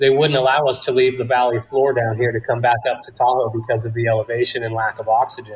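A man with an American accent speaks at a very fast pace, hardly pausing, in a medium pitch. His delivery is somewhat breathy, with monotone, flat intonation. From Northern California foothills (Placerville). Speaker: cannabis grower and business owner. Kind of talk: interview.

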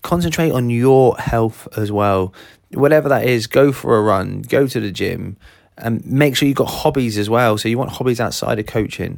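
This man speaks with a southern English accent at a moderate pace and a medium pitch. His pitch variation is ordinary, and the recording is very clean with a silent background. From southern England. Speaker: sports business coach, podcast host. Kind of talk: solo podcast monologue.

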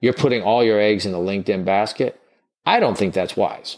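Against a quiet background, a man speaks with a Southern US accent. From US South. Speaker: recruiting trainer. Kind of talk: interview conversation.

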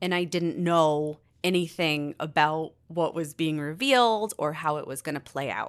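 A woman at a fairly low pitch and fairly slow pace, an ordinary speaking voice, on a very clean recording with a silent background. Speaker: employee. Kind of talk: interview.

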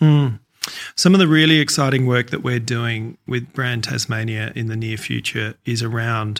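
A man's medium-pitched voice with an Australian accent and ordinary pitch variation. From Australia, Adelaide. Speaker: cheesemaker and place-branding board chair. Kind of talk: interview.

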